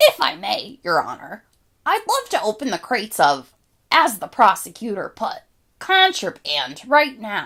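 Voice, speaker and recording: A woman does a put-on character voice at a fairly high pitch and a moderate pace. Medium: read story. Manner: polite, calm, articulate.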